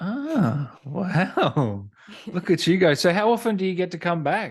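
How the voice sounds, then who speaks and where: A man with a high pitch and an Australian accent, lively intonation and a fairly slow pace. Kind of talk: casual interview host.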